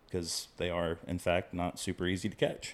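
In a very clean recording with a silent background, a man with a Texan accent speaks at a very deep, low pitch. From Central Texas, near Waco. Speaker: fly tier. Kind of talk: casual chat.

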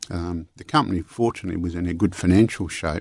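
With an Australian accent, a man talks at a very deep, low pitch with ordinary pitch variation, in a dry, close sound with no echo and a quiet background. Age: 70s.

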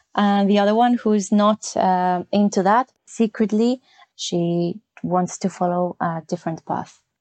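A woman with a Spanish accent, fairly slow and fairly even in intonation. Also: medium pitch for a woman. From northern Spain, Santander. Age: 30s. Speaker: English teacher. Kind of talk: casual chat.

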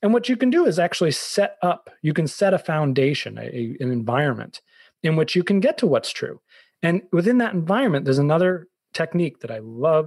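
A man with an American accent talks at a fairly quick pace and a fairly high pitch, his voice swinging very widely up and down. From Boston, US. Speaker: author and business coach. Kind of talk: casual interview.

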